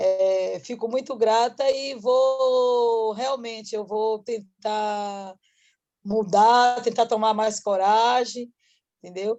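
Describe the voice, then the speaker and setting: A woman with a Bahian accent speaks very slowly in a fairly high pitch, her dark, mellow tone carrying fairly even intonation. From Salvador, Bahia, Brazil. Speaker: workshop participant, entrepreneur. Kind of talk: casual thank-you remarks.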